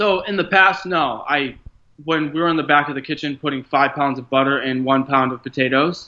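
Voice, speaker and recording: A man talks in an ordinary speaking voice at a fairly high pitch and a fairly quick pace, with ordinary pitch variation. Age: 30s. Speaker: chef and writer. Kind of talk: interview.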